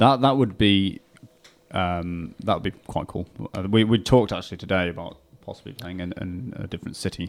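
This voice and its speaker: Speaking fairly quickly with a northern English accent, a man with a very deep, low pitch shows ordinary pitch variation and big swings in loudness. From northern England, Warrington. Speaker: rock guitarist and singer. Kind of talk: radio interview. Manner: hesitant.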